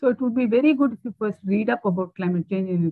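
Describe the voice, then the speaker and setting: A somewhat breathy woman talks at a fairly quick pace with very wide pitch swings. The sound is dry with no echo, over a quiet background. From India. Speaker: climate researcher, keynote speaker; keynote speaker. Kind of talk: lecture. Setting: video call. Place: home room. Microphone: earbuds.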